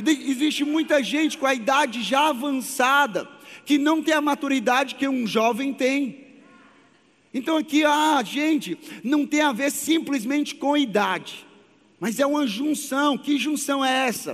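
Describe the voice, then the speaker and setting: This man speaks fairly slowly in an extremely high pitch, with very even loudness and fairly even intonation. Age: 30s. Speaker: pastor. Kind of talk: sermon.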